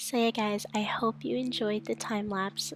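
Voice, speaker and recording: Quiet woman's voice at medium pitch, ordinary pitch variation, music in the background. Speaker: gaming YouTuber. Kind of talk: gameplay commentary. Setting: home bedroom, late night. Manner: hushed, quiet. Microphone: mic very close, breathing audible.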